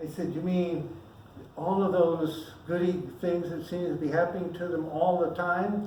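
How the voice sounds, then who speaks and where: Moderate pace, noticeable noise in the background. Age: 80s+. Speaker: minister. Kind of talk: sermon. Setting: church service. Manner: casual, off script.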